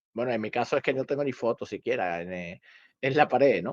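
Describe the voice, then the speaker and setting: Against a quiet background, a man's voice shows very wide pitch swings. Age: 60s. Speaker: karate teacher. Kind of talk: casual podcast discussion. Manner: halting, many repetitions.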